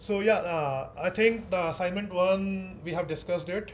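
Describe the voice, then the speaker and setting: A loud man speaks at a high pitch with ordinary pitch variation. Audible room echo surrounds his voice. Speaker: teaching assistant. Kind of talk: online tutorial session.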